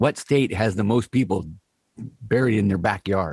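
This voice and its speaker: A man with a fairly low pitch and a somewhat breathy sound speaks at a moderate pace. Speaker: podcast co-host. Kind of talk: casual chat. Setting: video call.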